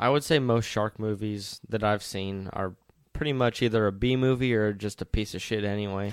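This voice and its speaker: A man with an ordinary speaking voice, fairly low in pitch, with fairly even intonation and a moderate pace. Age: young. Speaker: podcast co-host, son. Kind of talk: casual chat.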